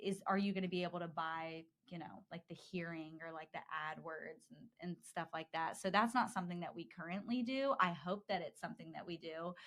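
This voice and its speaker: A woman's normal speaking voice, fairly low in pitch, at a fairly quick pace with hardly any pauses, ordinary pitch variation and big swings in loudness. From US South, Georgia (Dallas, near Atlanta). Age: 20s. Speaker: advertising account executive. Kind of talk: podcast interview. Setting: studio.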